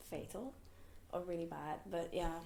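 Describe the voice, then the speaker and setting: There is audible room echo as a woman speaks. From Hong Kong. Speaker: fortune teller. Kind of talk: interview. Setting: podcast. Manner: casual.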